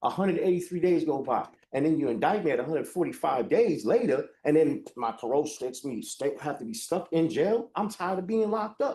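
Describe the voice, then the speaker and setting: A loud man speaks at a very fast pace with a high pitch and a dark, mellow tone. His pitch swings very widely. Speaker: defendant. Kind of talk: court hearing.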